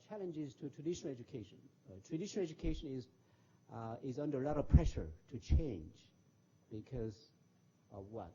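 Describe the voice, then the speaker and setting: This man's fairly high voice makes very wide pitch swings as he talks at a fairly quick pace, sounding somewhat breathy and leaving long, frequent pauses. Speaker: former diplomat and professor. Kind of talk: lecture. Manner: fast; halting.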